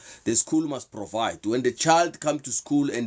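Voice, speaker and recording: A man with a South African accent is heard on a very clean recording with a silent background. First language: Sepedi. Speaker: motivational/faith talk show host. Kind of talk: live stream talk. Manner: halting.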